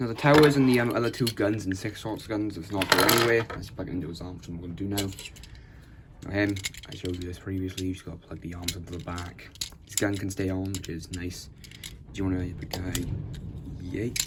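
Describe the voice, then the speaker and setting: Speech comes at a very fast pace yet with long, frequent pauses. Noticeable background noise is present. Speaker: toy reviewer. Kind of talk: product review tutorial.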